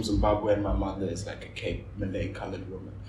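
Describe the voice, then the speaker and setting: A man's very deep, low voice, with noticeable background noise and audible room echo. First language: Afrikaans. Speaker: visual artist and art dealer. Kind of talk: casual chat.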